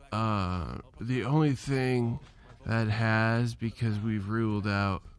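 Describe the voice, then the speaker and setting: At a very slow pace, a man talks with a medium pitch and ordinary pitch variation. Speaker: podcaster. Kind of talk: casual monologue. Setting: solo recording. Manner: slow, halting.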